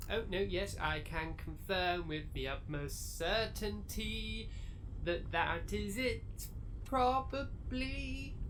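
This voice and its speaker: A put-on character voice speaks at a very slow pace against clear background noise. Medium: audio drama. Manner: dry, deadpan.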